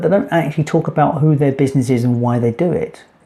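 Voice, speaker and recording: A man's somewhat breathy, fairly high voice at a very fast clip, with ordinary pitch variation. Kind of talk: casual talk to camera, business explainer. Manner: conversational, fluent with some hesitations.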